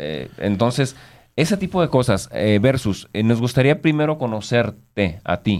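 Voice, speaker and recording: Pitch swinging very widely, a man speaks at a fairly slow pace. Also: very clean recording, silent background. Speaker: radio host. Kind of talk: casual interview.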